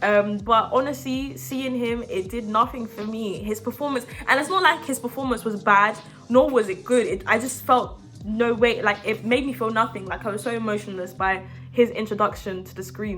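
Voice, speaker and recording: A woman speaks with a fairly high pitch, an animated tone and lively intonation. Noticeable background noise runs under the recording. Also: big swings in loudness. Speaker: movie review youtuber. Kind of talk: casual vlog review. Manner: fast.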